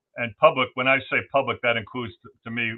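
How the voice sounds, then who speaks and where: A man at a very fast pace, with a Brooklyn accent. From New York City, Brooklyn. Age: 60s. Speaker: whistleblower. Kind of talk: interview. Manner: halting, many fillers and repeats.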